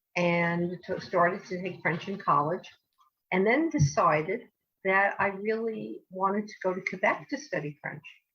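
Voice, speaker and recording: A woman with a New Jersey accent, medium in pitch, with ordinary pitch variation and a fairly slow pace. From US Northeast, New Jersey. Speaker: language educator. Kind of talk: interview. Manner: hesitant, many fillers.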